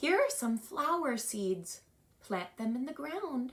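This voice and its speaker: A woman speaks at a fairly slow pace in a put-on character voice. Her pitch sits high. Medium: read story. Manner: calm, patient.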